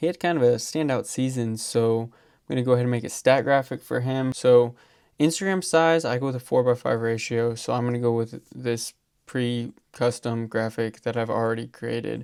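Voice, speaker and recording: A man at a medium pitch and moderate pace on a very clean recording, silent background. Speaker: graphic design tutorial creator. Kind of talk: tutorial. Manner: monotone.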